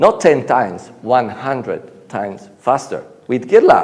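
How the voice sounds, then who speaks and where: A man with an Italian accent speaks in an animated tone, and audible room echo surrounds his voice. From Italy. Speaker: conference speaker, software engineer. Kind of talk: conference talk. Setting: stage with audience.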